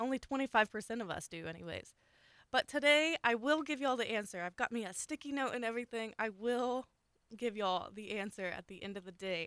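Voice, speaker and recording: The speaker has a Southern US accent, a fairly quick pace and lively intonation. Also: woman, fairly high pitch for a woman. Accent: Southern US (Oklahoma). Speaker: radio host. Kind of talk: call-in radio show. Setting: studio. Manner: friendly.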